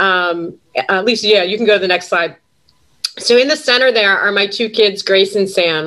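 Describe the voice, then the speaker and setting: Speaking in a Western New York accent, a woman with a medium pitch and a bright, sharp tone talks at a moderate pace with ordinary pitch variation. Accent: Western New York American. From Buffalo, New York. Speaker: sales executive and adjunct professor. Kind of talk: webinar panel talk.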